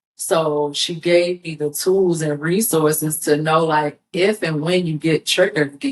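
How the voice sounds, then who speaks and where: A woman speaks at a fairly slow pace in a very deep, low voice, with ordinary pitch variation. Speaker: entrepreneur and nonprofit founder. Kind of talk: podcast interview. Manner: loud.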